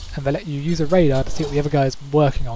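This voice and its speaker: The speaker has a British accent. Noticeable background noise runs underneath. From Britain. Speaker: gaming commentator. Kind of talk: game replay commentary. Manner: fast.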